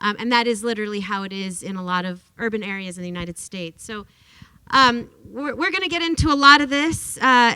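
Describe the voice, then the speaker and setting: Talking at a very fast pace, a woman with a fairly high pitch and a bright, sharp tone uses lively intonation and big swings in loudness. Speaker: workers rights advocate and author. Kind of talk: lecture. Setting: classroom talk with audience. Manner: animated.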